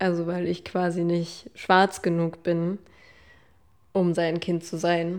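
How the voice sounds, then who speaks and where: Delivered at a very slow pace in a monotone, flat intonation, the speech comes through a very clean recording with a silent background. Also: woman. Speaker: daughter of the doctor. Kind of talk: interview testimony.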